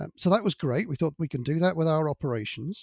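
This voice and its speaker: A man's fairly high, somewhat breathy voice with lively intonation at a fairly quick pace, in a very clean recording with a silent background and a dry, close sound with no echo. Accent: British. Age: 60s. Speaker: manufacturing sustainability director. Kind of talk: interview.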